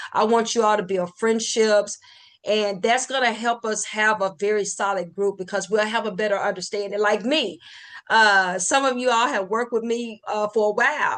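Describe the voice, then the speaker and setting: At a moderate pace, a woman talks in a fairly high pitch with fairly even intonation. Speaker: meeting leader. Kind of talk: online team meeting. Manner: deadpan.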